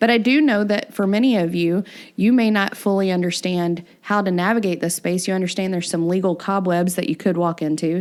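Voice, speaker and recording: With a Southern US accent, the speaker moves along at a fairly quick pace. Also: woman, very clean recording, silent background. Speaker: podcast host, workforce consultant. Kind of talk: podcast discussion explaining regulations.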